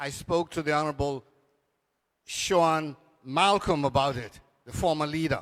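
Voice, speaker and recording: A man with a Turks and Caicos accent, fairly high in pitch, at a moderate pace with long, frequent pauses and fairly even intonation, on a very clean recording with a silent background. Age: 80s+. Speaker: cultural elder. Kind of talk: panel discussion.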